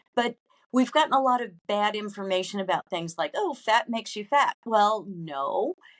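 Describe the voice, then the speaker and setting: A woman speaks at a moderate pace with lively intonation and fairly high pitch. It is an ordinary speaking voice, recorded dry and close with no echo. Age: 60s. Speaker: food and wellness business founder. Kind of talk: interview.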